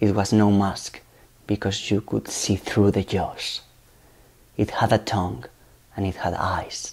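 Quiet and fairly low, a man's voice with vocal fry proceeds at a fairly slow pace with fairly even intonation and long, frequent pauses. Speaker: actor auditioning. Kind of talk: first-person ghost story monologue, audition performance. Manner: hushed, haunted storytelling building dread; halting, self-correcting as if reliving grief. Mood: eerie, suspenseful.

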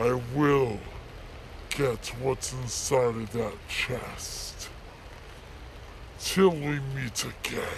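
A man speaks at a very slow pace with long, frequent pauses. Clear background noise can be heard. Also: medium pitch for a man. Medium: voice reel. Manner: menacing, formal.

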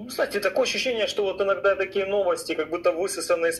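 A man talking at a fairly quick pace over light background noise. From Ukraine, Melitopol; Ukraine. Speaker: caller; talk show guest. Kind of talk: call-in conversation. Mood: calm, mildly skeptical. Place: home room. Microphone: studio mic.

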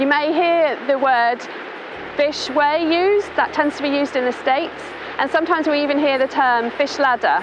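Over noticeable background noise, a woman speaks in a high pitch with ordinary pitch variation and a dry sound with no echo. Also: moderate pace, very even loudness. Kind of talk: explainer to camera. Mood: friendly, informative. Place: waterside.

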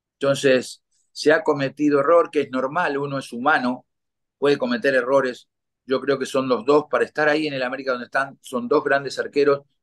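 Against a quiet background, a man talks fairly quickly in a fairly high pitch with monotone, flat intonation. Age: 60s. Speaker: retired football goalkeeper; guest. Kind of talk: interview. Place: home room. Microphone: video call.

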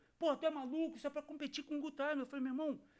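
A man against a quiet background. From Rio de Janeiro. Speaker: podcast host and radio presenter; podcast host, radio presenter. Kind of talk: casual interview. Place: studio. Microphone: studio mic.

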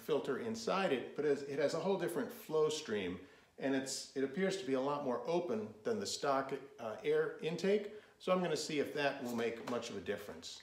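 A man's fairly high voice with very wide pitch swings, at a moderate pace, with audible room echo. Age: 50s. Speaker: motorcycle vlogger. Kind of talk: product review. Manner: hesitant with fillers. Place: garage. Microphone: phone near.

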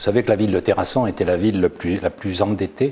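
With ordinary pitch variation, a man talks at a very deep, low pitch. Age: 70s. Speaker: mayor; mayor running for re-election. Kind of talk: interview. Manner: hesitant with fillers. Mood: confident, a bit defiant. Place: office. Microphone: lapel.

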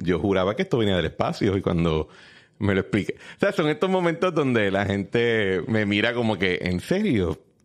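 A man speaks in an ordinary speaking voice at a moderate pace, fairly low in pitch, with lively intonation. His loudness stays very even against a quiet background. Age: 30s. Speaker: political podcast host. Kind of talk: casual political discussion.

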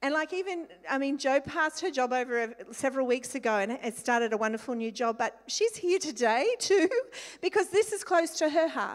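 Over a quiet background, a woman speaks in an Australian accent at a high pitch. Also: moderate pace. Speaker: church leader. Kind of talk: prayer and exhortation. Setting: church. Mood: warm, grateful. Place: hall. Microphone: handheld.

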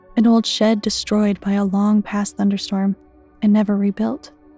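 Monotone, flat speech from a woman at a moderate pace, with music in the background. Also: dry sound with no echo. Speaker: story narrator. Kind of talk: storytelling narration.

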